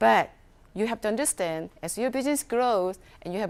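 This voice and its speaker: With a non-native accent, a woman speaks at a fairly high pitch and with lively intonation. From South Korea. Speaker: chef and food entrepreneur. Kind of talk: workshop talk. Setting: workshop with audience. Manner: halting.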